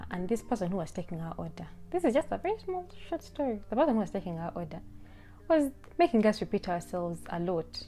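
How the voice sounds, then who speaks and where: With music in the background, a woman speaks very fast, her pitch swinging very widely. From Uganda. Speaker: YouTuber. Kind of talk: casual vlog monologue.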